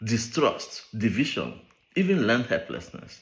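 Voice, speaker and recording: A man with a Nigerian accent at a medium pitch, with very wide pitch swings, vocal fry and a moderate pace. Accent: Nigerian Igbo English. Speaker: behavioral scientist. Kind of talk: speech read aloud.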